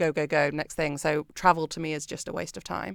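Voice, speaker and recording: A woman with a British accent speaks at a fairly quick pace in a very deep, low voice with monotone, flat intonation, on a very clean recording with a silent background and a dry, close sound with no echo. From Britain. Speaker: company founder. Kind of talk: casual interview chat.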